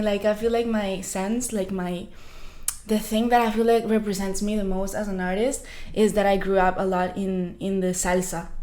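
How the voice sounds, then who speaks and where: A woman with a Spanish accent talks at a moderate pace and medium pitch with fairly even intonation, and the room echo is audible. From Colombia, Bucaramanga. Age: 20s. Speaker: singer. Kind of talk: interview.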